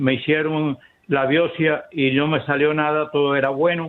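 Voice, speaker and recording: The man's pitch is fairly high. He talks at a fairly slow pace. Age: 80s+. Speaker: caller. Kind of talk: phone-in question.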